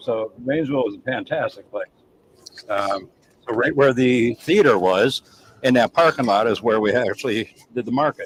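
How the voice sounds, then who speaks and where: A man speaks with a New England accent at a medium pitch. His ordinary pitch variation sounds dry and close, with no echo. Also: moderate pace. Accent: Yankee. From US North. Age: 60s. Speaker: chef. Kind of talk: casual chat.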